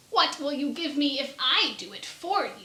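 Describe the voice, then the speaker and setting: This woman puts on a character voice with a growl. Her pitch is high and her pace moderate. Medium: read story. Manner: sly, bargaining.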